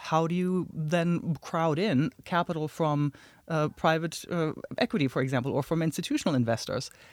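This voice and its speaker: Speech comes at a moderate pace with ordinary pitch variation. The recording is very clean with a silent background. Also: woman. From outside the US. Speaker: tech entrepreneur. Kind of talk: casual interview.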